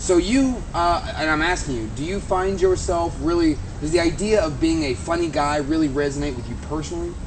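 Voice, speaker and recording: A man talks at a fairly quick pace with hardly any pauses. Audible room echo and noticeable background noise surround his voice. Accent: American. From United States. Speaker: video show host. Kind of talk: casual chat.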